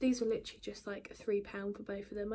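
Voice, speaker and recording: A woman speaks quietly with an English accent. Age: 20s. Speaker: beauty and lifestyle vlogger. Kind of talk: casual vlog talk.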